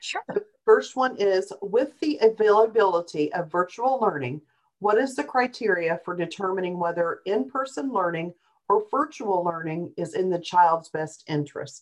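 Here is a woman with an unremarkable speaking voice, medium in pitch. Her intonation is lively and her pace moderate. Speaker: webinar co-host reading questions.

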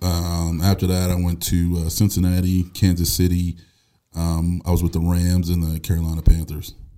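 Dark, mellow tone and monotone, flat intonation on a very clean recording with a silent background. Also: man, very deep, low pitch for a man, moderate pace. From Buffalo, New York. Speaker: former pro football player. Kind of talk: interview testimony.

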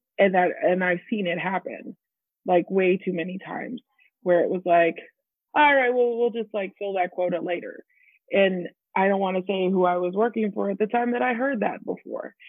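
A woman's medium-pitched voice with ordinary pitch variation, an unremarkable speaking voice. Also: moderate pace. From Texas. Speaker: camp activities director. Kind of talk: panel discussion.

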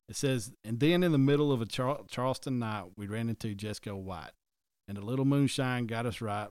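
A Southern US accent on a very clean recording with a silent background. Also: man. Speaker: podcast host. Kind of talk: casual podcast chat with storytelling.

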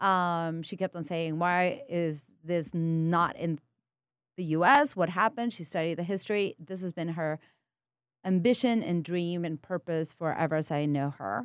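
A woman speaks with a Spanish accent in a fairly low pitch. The sound is dry and close with no echo, on a very clean recording with a silent background. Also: ordinary pitch variation, moderate pace. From Peru. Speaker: spirits company co-founder. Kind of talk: casual interview. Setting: studio.

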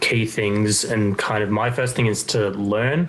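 A man with an Australian accent and a fairly low pitch, with ordinary pitch variation, over noticeable background noise. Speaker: LGBTQ organisation worker. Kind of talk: casual interview chat.

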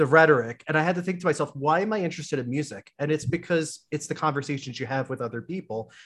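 Over a quiet background comes a normal speaking voice with lively intonation. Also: man. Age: 30s. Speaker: librarian and podcast host. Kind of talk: casual chat. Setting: video call.

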